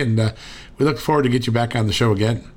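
With an American accent, a man of medium pitch speaks in fairly even intonation against noticeable background noise. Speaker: podcast host. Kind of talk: interview with ad reads.

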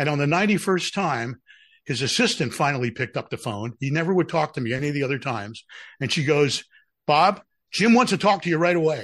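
With an American accent, the speech races along very fast over a quiet background. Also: man, fairly high pitch for a man, lively intonation. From Philadelphia. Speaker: broadcast executive and radio DJ. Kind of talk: casual interview chat.

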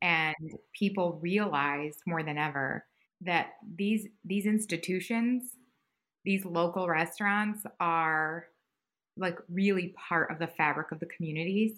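A woman with a normal speaking voice and a fairly low pitch talks at a fairly slow pace with ordinary pitch variation. The recording is very clean, with a silent background. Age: 40s. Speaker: head of a food industry innovation hub. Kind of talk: interview.

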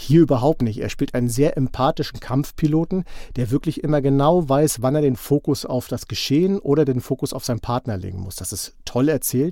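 Over a very clean recording with a silent background, a man talks at a fairly quick pace with hardly any pauses, his tone dark and mellow and his pitch variation ordinary. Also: fairly high pitch for a man. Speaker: podcast host, film reviewer. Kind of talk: casual chat.

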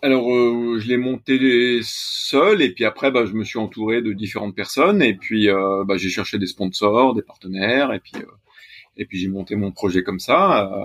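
A man speaks fairly slowly in a plain, everyday voice at medium pitch. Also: ordinary pitch variation. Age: 40s. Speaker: sailor, accountant by training. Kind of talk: interview.

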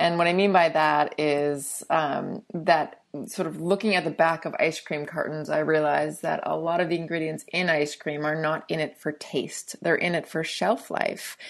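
Speaking at a moderate pace with hardly any pauses, a woman uses a very deep, low voice and fairly even intonation. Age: 30s. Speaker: ice cream company founder. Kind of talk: interview.

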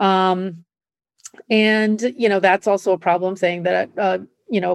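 A woman with an American accent has an unremarkable speaking voice at a medium pitch with fairly even intonation. The sound is dry and close with no echo, against a quiet background. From US Midwest, Nebraska. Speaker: podcast co-host and sports writer. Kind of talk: casual chat.

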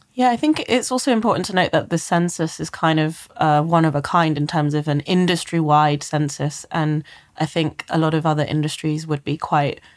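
On a very clean recording with a silent background, a woman with a very deep, low pitch and ordinary pitch variation speaks at a moderate pace. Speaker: reporter. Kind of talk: podcast interview discussion. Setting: studio.

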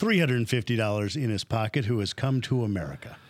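An unremarkable speaking voice from a man, fairly quick with ordinary pitch variation, in a very clean recording with a silent background. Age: 50s. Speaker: podcast and TV host. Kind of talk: scripted narration; interview.

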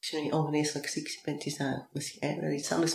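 Audible room echo hangs around the voice of a woman as she speaks. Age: 40s. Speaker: business coach. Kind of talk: interview.

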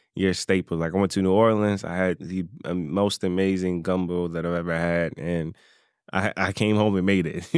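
A man's very deep, low voice in a Southern US accent, with monotone, flat intonation at a moderate pace, in a very clean recording with a silent background. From North Carolina. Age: 20s. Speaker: self-taught chef and social media creator. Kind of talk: casual interview.

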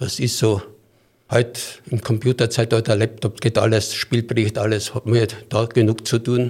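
A man's somewhat breathy, monotone voice with flat intonation, moderate pace and long, frequent pauses, on a very clean recording with a silent background. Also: medium pitch for a man. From Styria, Austria. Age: 70s. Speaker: football referee. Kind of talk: interview.

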